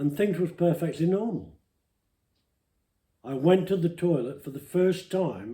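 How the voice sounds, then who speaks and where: A man with a high pitch and a dark, mellow tone speaks at a fairly slow pace. He leaves long, frequent pauses, and his pitch variation is ordinary. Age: 80s+. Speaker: interviewee telling life story. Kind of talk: personal testimony interview. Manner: emotional.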